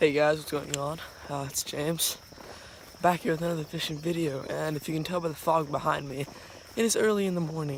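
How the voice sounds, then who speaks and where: Over noticeable background noise, a man talks fairly quickly in a fairly high pitch with fairly even intonation. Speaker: fishing vlogger. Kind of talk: casual vlog talk to camera. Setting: outdoors, early morning fog. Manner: casual with frequent fillers.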